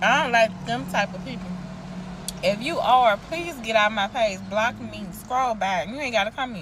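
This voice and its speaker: A woman with a Southern US accent talks at a moderate pace with lively intonation and big swings in loudness. Noticeable background noise runs underneath. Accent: Southern US, casual dialect. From US South. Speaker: TikTok creator, parent. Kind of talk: casual vlog rant. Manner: animated.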